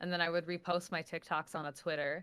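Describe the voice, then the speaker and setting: In a New York accent, a woman speaks at a very fast pace with monotone, flat intonation. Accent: heavy New York. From New Jersey, near New York City. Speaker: social media personality. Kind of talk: interview. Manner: casual, filler-heavy.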